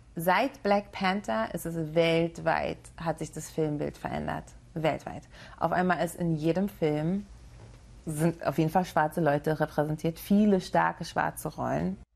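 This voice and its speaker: Her pitch is very deep and low. This woman speaks at a fairly slow pace. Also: ordinary pitch variation. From Berlin, Germany (Friedrichshain, East Berlin). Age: 20s. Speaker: stuntwoman. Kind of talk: interview.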